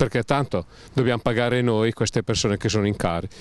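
This man has a fairly low pitch and ordinary pitch variation. He moves at a moderate pace.

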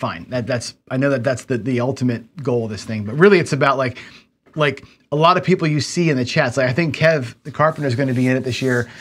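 Words come from a man at a very fast pace. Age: 50s. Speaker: gambling channel host and teacher. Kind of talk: casual livestream lecture. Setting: studio. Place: home room.

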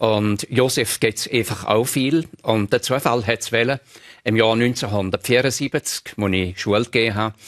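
Speaking very slowly in a strong Appenzell accent, the voice shows ordinary pitch variation. The background is quiet. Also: man. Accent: broad Appenzell Innerrhoden dialect. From Switzerland, Appenzell Innerrhoden; Switzerland. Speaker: retired teacher and dialect collector; retired teacher. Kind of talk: radio interview. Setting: studio. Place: studio. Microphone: lapel.

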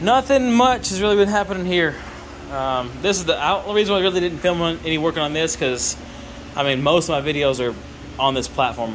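A man's high voice at a fairly quick pace, with light background noise. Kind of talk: casual vlog chat. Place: garage. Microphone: phone near.

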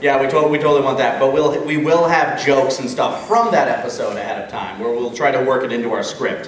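A man with an American accent, fairly high-pitched and very fast, with ordinary pitch variation, hardly any pauses, light background noise and audible room echo. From Minnesota, US. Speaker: web voice actor and convention panelist; web voice actor, panelist. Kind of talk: convention panel talk. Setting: stage with audience. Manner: loud. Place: hall. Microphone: camera far.

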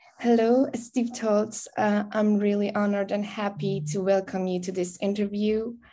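A woman with a Persian accent and a dark, mellow tone speaks at a moderate pace with fairly even intonation and hardly any pauses. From Iran. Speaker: interviewer. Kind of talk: interview. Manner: halting. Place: home room. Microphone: video call.

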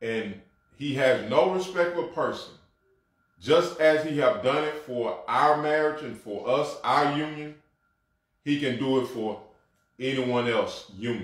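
With a Mississippi accent, a man speaks fairly slowly in a fairly high voice, leaving long, frequent pauses. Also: ordinary pitch variation. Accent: Southern US, Mississippi. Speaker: apostle, co-host. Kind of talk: religious talk show, testimony. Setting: livestreamed virtual broadcast. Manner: repetitive stammering.

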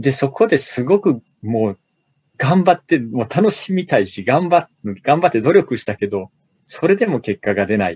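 Somewhat breathy and delivered at a moderate pace, the voice makes very wide pitch swings in a dry, close sound with no echo. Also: man. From Osaka, Japan. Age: 40s. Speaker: business author and corporate manager. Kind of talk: casual interview.

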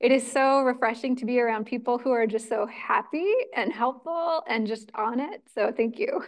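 Against a quiet background, a woman speaks at a moderate pace in a high pitch with ordinary pitch variation. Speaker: event host. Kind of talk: event introduction speech. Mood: warm, grateful, cheerful. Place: hall. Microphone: handheld.

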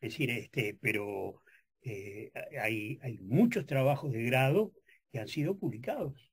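Over a quiet background, a man speaks at a fairly slow pace in a somewhat breathy voice with a dark, mellow tone and lively intonation. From Uruguay. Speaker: journalist and professor; journalist, professor. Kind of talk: radio interview. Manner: halting, many fillers. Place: studio. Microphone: studio mic.

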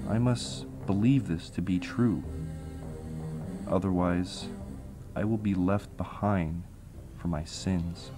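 Music plays in the background as the speaker talks very slowly. There are long, frequent pauses and ordinary pitch variation. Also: man, very deep, low pitch for a man. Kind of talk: spoken word poetry.

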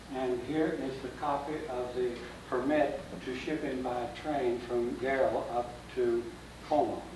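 Monotone, flat intonation amid noticeable background noise and audible room echo. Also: man. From Kansas. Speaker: local historian. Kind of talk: public history lecture. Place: hall. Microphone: camera far.

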